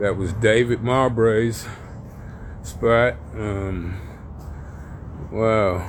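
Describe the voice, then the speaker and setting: In a room with audible echo, a man speaks very slowly at a fairly low pitch with fairly even intonation. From Oakland, California (US West Coast). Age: 60s. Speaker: street poet vlogger. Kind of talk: casual walking vlog monologue. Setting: outdoors in his old neighborhood.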